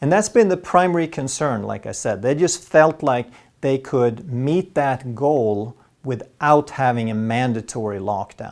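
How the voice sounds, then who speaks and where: A man with a Swedish accent in medium pitch, with lively intonation at a fairly slow pace, on a very clean recording with a silent background. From Sweden. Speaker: health educator doctor. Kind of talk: health explainer monologue.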